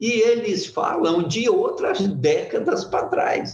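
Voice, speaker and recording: A man speaks very slowly, and audible echo from the room surrounds his words. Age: 70s. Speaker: photo-painting master artist. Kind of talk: talk at an art fair workshop. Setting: event with live audience.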